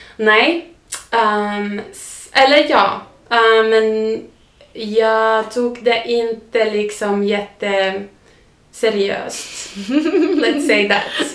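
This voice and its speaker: At a very slow pace with long, frequent pauses, a woman with a Finnish accent speaks at a fairly high pitch, her loudness swinging widely and her pitch varying ordinarily, in a room with audible echo. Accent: Finnish-accented Swedish. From southern Finland, near Turku. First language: Finnish (speaking Swedish). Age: 30s. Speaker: podcast guest. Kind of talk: casual interview. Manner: halting, with fillers; mixes in English words.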